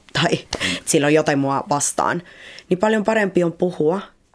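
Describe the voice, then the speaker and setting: With a Spanish accent, a woman talks using lively intonation. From Colombia, Cali; Finland from age 11. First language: Spanish (speaking Finnish). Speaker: guest. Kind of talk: casual chat. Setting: studio. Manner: outgoing, not introverted.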